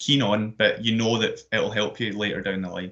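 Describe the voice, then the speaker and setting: Ordinary pitch variation from a man with a medium-pitched voice, moving at a fairly quick pace. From Scotland, Glasgow. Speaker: sports events manager, active schools coordinator. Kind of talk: careers presentation. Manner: hesitant, many fillers and repetitions.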